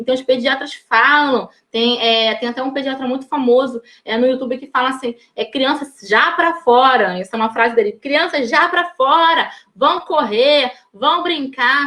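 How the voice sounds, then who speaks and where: A woman with a high pitch projects her raised voice at a fairly slow pace. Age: 30s. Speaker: educator giving a teacher training talk. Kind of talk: live online talk. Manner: hesitant, many fillers.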